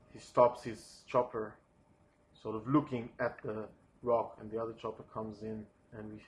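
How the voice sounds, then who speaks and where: Speaking at a moderate pace with a non-native accent, a man's somewhat breathy voice has monotone, flat intonation and big swings in loudness. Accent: foreign accent, non-native English. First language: not English. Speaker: storyboard artist pitching a film sequence. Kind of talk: storyboard pitch narration. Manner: hesitant, many fillers.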